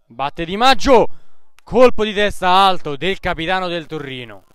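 With an excited tone and lively intonation, a man speaks at a high pitch. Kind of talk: live sports commentary. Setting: amateur football match, commentary over the play. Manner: fast, breathless play-by-play delivery, rattling off names and passes; excited, rising emphasis on goals and near-misses.

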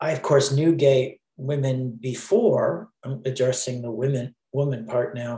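Somewhat breathy, a man's voice has a dark, mellow tone and ordinary pitch variation. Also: medium pitch for a man, fairly slow pace, hardly any pauses. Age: 60s. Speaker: Broadway sound designer. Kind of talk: interview answer.

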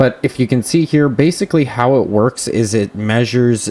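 A man speaks at a moderate pace with ordinary pitch variation. He has an ordinary speaking voice. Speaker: tech reviewer. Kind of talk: tutorial. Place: home room. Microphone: camera far.

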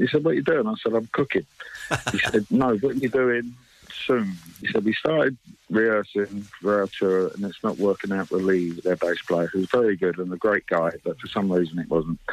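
In an ordinary speaking voice, a man talks at a fairly quick pace with a fairly low pitch and ordinary pitch variation, the sound dry with no echo. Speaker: guest. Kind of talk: interview answer. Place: studio.

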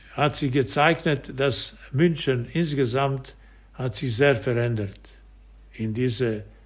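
Somewhat breathy and medium in pitch, a man speaks at a very slow pace with long, frequent pauses. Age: 80s+. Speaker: former football goalkeeper. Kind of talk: interview answer.

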